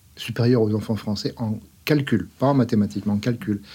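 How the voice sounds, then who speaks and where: A man with a medium-pitched, somewhat breathy voice and a dark, mellow tone talks at a fairly quick pace on a very clean recording with a silent background. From France. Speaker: scientist, academy secretary. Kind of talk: interview. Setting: studio.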